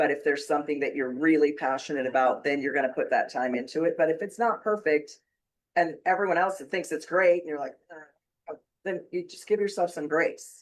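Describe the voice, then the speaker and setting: A woman with a plain, everyday voice and a fairly low pitch. She talks at a fairly quick pace with ordinary pitch variation. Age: 60s. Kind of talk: casual chat.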